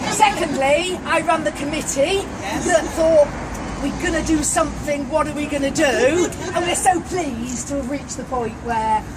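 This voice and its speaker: A woman speaks at a moderate pace in a high pitch, with ordinary pitch variation. Crowd noise sits in the background, and the room echo is audible. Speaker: parish council committee organiser. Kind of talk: public speech at ceremony. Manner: loud.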